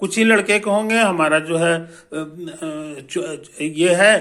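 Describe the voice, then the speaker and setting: A man's high-pitched voice with ordinary pitch variation, over noticeable background noise. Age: 70s. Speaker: physics teacher and author. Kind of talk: promotional talk to students. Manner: casual, repetitive filler (है कि नहीं); hesitant, with fillers and restarts.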